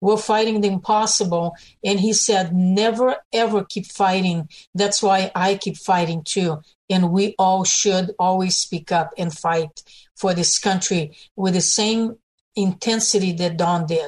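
The speech moves at a fairly slow pace with fairly even intonation. The voice is somewhat breathy. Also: woman, medium pitch for a woman. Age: 60s. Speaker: political activist. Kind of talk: radio interview.

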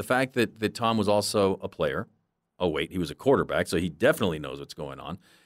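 A man with vocal fry talks at a fairly quick pace, with very wide pitch swings and big swings in loudness, in a dry, close, very clean recording with a silent background and no echo. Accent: American. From Southern California. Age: 50s. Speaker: sports reporter. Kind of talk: interview. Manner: halting, frequent repetitions.

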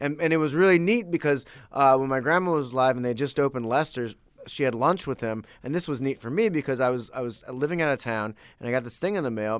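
The talking goes very fast. An American accent comes through. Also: man, medium pitch for a man, ordinary pitch variation. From Saint Louis, US Midwest. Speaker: podcast host. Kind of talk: casual interview chat.

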